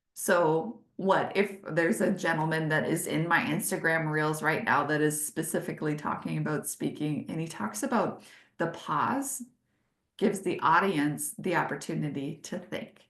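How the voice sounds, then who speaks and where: With vocal fry and lively intonation, a woman speaks at a moderate pace and a fairly low pitch. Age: 40s. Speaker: business consultant leading webinars. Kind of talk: webinar presentation. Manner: animated.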